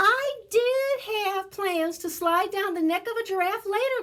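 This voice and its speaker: A woman puts on a squeaky character voice at an extremely high pitch. She moves at a fairly slow pace with ordinary pitch variation. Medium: read story. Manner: teasing, warm.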